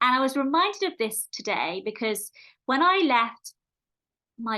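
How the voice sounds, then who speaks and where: Against a quiet background, a woman speaks in a bright, sharp tone with lively intonation. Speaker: podcast host and meditation creator. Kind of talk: casual monologue podcast. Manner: fast.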